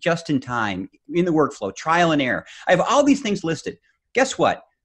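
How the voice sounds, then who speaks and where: A man's pitch rises and falls very widely, and the background is quiet. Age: 50s. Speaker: learning consultant and author. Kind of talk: interview. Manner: animated; repetitive stammering starts.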